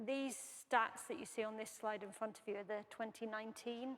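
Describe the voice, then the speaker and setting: A woman speaks with a British accent. Her pitch sits fairly high. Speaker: aerospace engineer, program head. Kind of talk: panel presentation.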